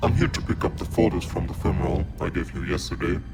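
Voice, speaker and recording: A man does a put-on character voice at a very fast pace. Loud background noise runs behind him. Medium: machinima. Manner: terse, commanding.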